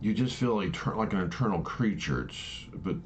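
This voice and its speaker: Audible room echo surrounds a man whose voice shows vocal fry. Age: 60s. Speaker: vlogger sharing personal views. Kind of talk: casual monologue. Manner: halting, many false starts.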